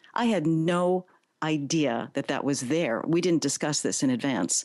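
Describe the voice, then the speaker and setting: Speaking at a moderate pace, a woman uses a very deep, low pitch. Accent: American. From the Bronx, New York. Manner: upbeat, warm.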